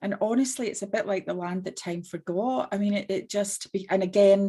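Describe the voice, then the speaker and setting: A woman's voice in a strong Scottish accent, medium pitch and fairly even intonation. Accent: Scottish, still strong. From Scotland. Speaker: business owner, entrepreneur. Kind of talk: panel discussion.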